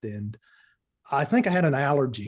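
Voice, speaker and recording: Here is a man with an Appalachian accent and a medium pitch. His tone is dark and mellow, over a quiet background. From eastern Kentucky, Appalachia. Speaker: spiritual teacher, former lawyer. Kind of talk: interview answers.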